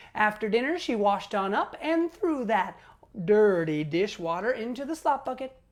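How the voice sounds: What you hear is a natural reading voice.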